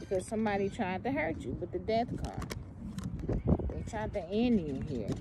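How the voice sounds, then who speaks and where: A woman speaks at a moderate pace. The sound is dry with no echo, amid loud background noise. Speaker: tarot reader. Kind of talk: tarot reading to viewers. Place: open country. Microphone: phone near.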